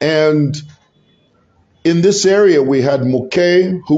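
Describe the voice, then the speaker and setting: At a very slow pace, a man speaks with a fairly high pitch. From Zambia. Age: 50s. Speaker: political commentator, YouTuber. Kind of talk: solo vlog commentary. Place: office.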